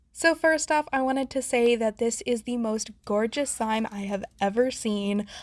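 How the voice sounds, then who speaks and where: At a moderate pace, a woman speaks in an animated tone with a fairly high pitch and ordinary pitch variation. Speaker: slime reviewer, YouTuber. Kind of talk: product review.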